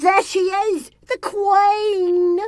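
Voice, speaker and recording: Squeaky and extremely high-pitched, this is a put-on character voice. The speaker is a woman. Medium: video game. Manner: deferential, says miss.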